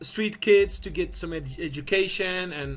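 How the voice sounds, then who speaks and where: A man with a Belgian accent speaks at a fairly slow pace. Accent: non-native English, Belgian. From Belgium. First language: not English. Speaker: online business founder. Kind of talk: business video monologue. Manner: halting, many fillers and repeats.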